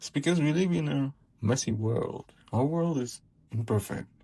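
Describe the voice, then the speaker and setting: At a very slow pace, a man talks in a dark, mellow tone that is somewhat breathy, with lively intonation. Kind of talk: personal commentary monologue. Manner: hesitant, many filler words.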